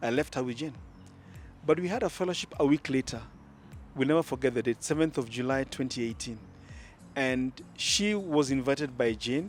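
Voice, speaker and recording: A man with a Kenyan accent and medium pitch, at a fairly quick pace with ordinary pitch variation and long, frequent pauses, over music in the background. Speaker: engaged church member, Sunday school teacher. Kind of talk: casual interview. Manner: loud; animated.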